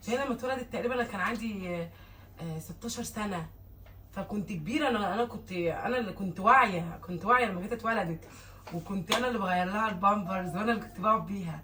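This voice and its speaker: A woman speaks at a medium pitch in an unremarkable speaking voice. Her pitch varies in an ordinary way, and her pace is fairly quick. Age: 20s. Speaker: vlogger and mother. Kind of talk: casual vlog chat.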